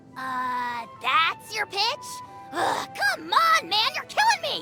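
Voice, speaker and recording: A put-on character voice with very wide pitch swings over clear music in the background. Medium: dub. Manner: whiny, exasperated, loud.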